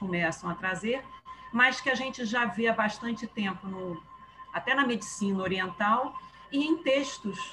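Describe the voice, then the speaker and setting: Against music in the background, a woman talks at a moderate pace with a fairly high pitch and ordinary pitch variation. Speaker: spiritist group presenter. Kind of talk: casual chat. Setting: video call.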